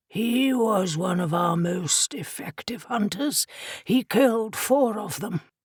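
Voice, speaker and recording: A woman puts on a raspy, gravelly character voice at a medium pitch. She speaks at a fairly slow pace. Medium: read story. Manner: sorrowful, heavy.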